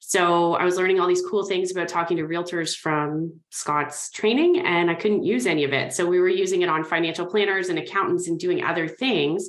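An ordinary speaking voice moves at a fairly quick pace with hardly any pauses. Intonation stays fairly even and loudness very even. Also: woman, fairly low pitch for a woman. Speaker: mortgage broker. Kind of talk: casual interview chat.

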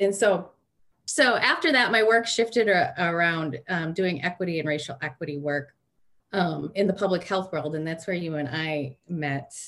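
With a Michigan accent, a woman speaks at a moderate pace. Her pitch is fairly low and varies in an ordinary way. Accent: Inland North American (Michigan). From Michigan, Detroit suburbs. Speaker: social work educator. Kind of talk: interview.

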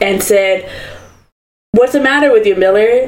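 A woman at a moderate pace, with audible room echo. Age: 20s. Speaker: podcast co-host. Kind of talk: casual storytelling chat.

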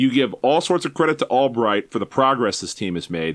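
A man talks at a medium pitch with vocal fry. The recording is very clean, with a silent background. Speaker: soccer blogger. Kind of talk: casual chat. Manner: animated.

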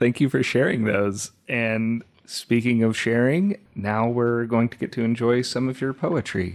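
A man in a normal speaking voice talks at a fairly slow pace with hardly any pauses, his medium pitch showing ordinary variation. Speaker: podcast host. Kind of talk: scripted intro, then interview.

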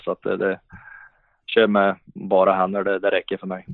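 A man with a fairly low pitch. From Sweden, Värmland (Hagfors). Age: 30s. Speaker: professional ice hockey player. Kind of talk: podcast interview. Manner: halting, many repetitions and fillers.

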